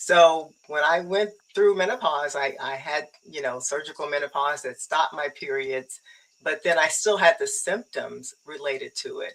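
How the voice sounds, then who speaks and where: With a very deep, low pitch and ordinary pitch variation, a woman talks at a moderate pace. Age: 60s. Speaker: menopause wellness coach, former pharmaceutical professional. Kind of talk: interview conversation.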